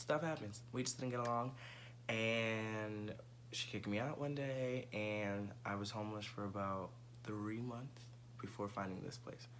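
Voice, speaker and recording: A man with an American accent, medium pitch, fairly slow pace and fairly even intonation, with audible room echo. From New York City (Bronx). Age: 20s. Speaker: presenter auditioning as co-host. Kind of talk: audition video monologue.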